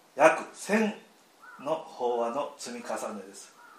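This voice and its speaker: Against noticeable background noise and audible room echo, a man speaks at a fairly slow pace with lively intonation. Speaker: Buddhist temple priest. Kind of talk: prepared welcome speech. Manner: formal.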